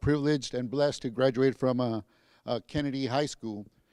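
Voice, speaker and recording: Fairly even intonation marks this man's medium-pitched voice. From San Antonio, Texas. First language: Spanish. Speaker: school district police chief. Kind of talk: convocation speech. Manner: halting, many repetitions.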